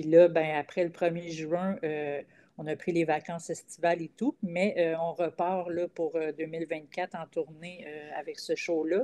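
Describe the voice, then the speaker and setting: A woman's fairly low voice, dark and mellow in tone, with a Quebec accent, fairly even intonation and big swings in loudness. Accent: Québécois French. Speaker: comedian. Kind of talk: casual chat. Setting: video call.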